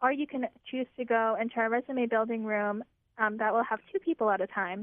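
This woman's pitch sits fairly high, and she has an unremarkable speaking voice. Her pace is fairly quick. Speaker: communications director. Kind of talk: radio interview.

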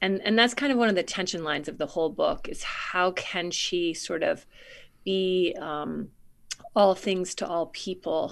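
A woman with an American accent speaks fairly slowly at a medium pitch. Her pitch varies in an ordinary way against a quiet background. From coastal Maine, US. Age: 50s. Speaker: novelist. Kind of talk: interview. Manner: halting, many fillers.

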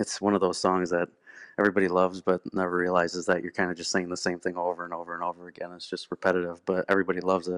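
A man with an American accent talks at a very fast pace. His very deep, low voice stays monotone and flat. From Rockford, Illinois (US Midwest). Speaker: musician, bandleader and singer. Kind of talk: casual interview. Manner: hesitant, many filler words.

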